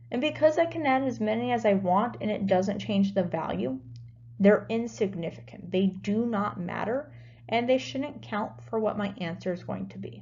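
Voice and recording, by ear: Speaking at a fairly slow pace, a woman's medium-pitched voice has a slightly mellow tone and lively intonation.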